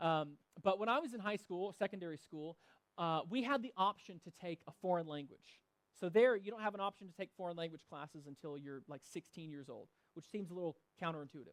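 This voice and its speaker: A man with a Southern US accent talks at a fairly quick pace and high pitch, the sound dry and close with no echo. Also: ordinary pitch variation, big swings in loudness. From US South. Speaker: pastor. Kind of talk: church announcements and sermon. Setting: church service. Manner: casual, with many fillers.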